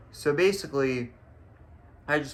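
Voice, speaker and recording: This man's voice has a bright, sharp tone. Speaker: vlogger. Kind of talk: personal vlog talk to camera. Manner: halting, stuttering.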